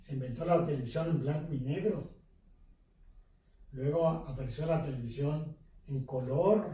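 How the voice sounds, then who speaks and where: In a room with audible echo, a man with a fairly high pitch speaks slowly-ish, at a fairly slow pace, with fairly even intonation. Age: 70s. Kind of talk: interview. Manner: hesitant with fillers.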